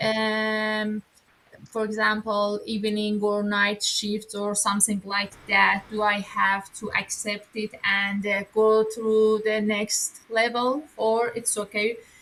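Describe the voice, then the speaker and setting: A woman's fairly high voice with a Persian accent, at a very slow pace, amid noticeable background noise. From Iran. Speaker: coaching member, job seeker. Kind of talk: asking questions on live call. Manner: halting, many fillers.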